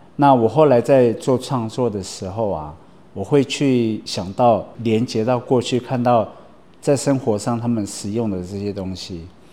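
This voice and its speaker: At a fairly slow pace, a man speaks with medium pitch, ordinary pitch variation and a dark, mellow tone. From Taiwan, Atayal mountain village (Taoyuan, Fuxing district). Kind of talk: interview monologue. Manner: casual with frequent fillers.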